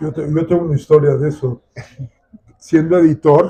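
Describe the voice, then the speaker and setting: Dark and mellow in tone, the somewhat breathy voice holds a monotone, flat intonation. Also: man. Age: 70s. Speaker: nature photographer and conservationist. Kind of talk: book presentation talk.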